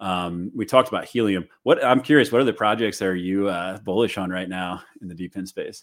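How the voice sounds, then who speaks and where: A man speaks fairly quickly with an American accent in an ordinary speaking voice, his fairly low pitch showing ordinary pitch variation and big swings in loudness. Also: hardly any pauses. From US Midwest, St. Louis. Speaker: crypto content creator and solar industry consultant. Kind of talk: casual chat.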